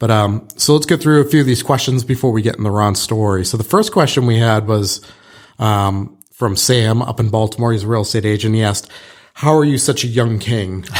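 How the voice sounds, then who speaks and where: At a medium pitch, a man talks in an unremarkable speaking voice with ordinary pitch variation. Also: fairly quick pace. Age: middle-aged. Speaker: real estate broker and podcast host. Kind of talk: casual podcast chat.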